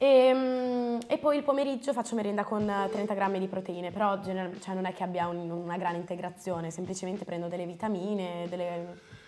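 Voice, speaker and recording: Faint music sits in the background as a woman talks at a fairly quick pace with ordinary pitch variation. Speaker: host's daughter. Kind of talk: casual Q&A chat. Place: home room.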